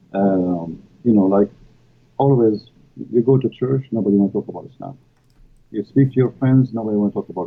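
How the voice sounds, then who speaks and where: A man speaks with an Arabic accent at a medium pitch. His pace is moderate and his pitch varies in an ordinary way. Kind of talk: live stream interview. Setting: live stream. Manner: halting, many fillers.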